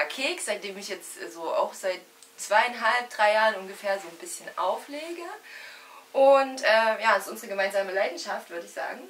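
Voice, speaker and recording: A woman speaks at a fairly quick pace and fairly high pitch, with lively intonation and big swings in loudness. Noticeable background noise is present. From Thuringia, eastern Germany. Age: 30s. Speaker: DJ. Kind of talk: casual chat.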